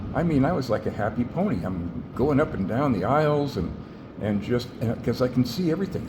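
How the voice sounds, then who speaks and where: A man talks with lively intonation. The room echo is audible, and background noise is noticeable. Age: 60s. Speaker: patient sharing surgery experience. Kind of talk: personal video diary. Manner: animated.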